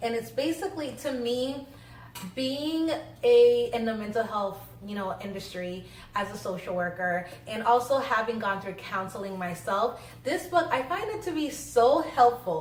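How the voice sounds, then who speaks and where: Against noticeable background noise and audible room echo, a woman speaks at a fairly high pitch with very wide pitch swings. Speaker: social worker and vlogger. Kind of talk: casual vlog talk. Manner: fast.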